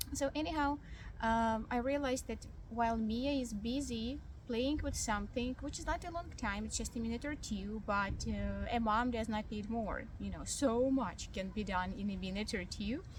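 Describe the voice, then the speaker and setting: Fairly high-pitched speech from a woman at a moderate pace, with ordinary pitch variation and audible room echo. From Ukraine. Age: young. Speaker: vlogger. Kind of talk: casual vlog monologue. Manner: hesitant, many fillers.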